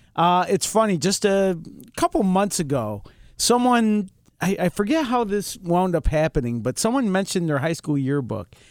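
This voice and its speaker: This voice has very wide pitch swings and an American accent at a moderate pace. The recording is very clean, with a silent background. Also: man, high pitch for a man. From Rochester, New York. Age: 50s. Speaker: podcast co-host. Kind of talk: casual chat. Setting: studio.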